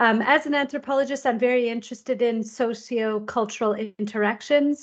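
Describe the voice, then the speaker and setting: Against a quiet background, a woman with a Canadian accent speaks at a moderate pace, her fairly high voice carrying fairly even intonation. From Canada. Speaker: university lecturer, biological anthropologist. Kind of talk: webinar presentation. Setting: online webinar. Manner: hesitant, many fillers.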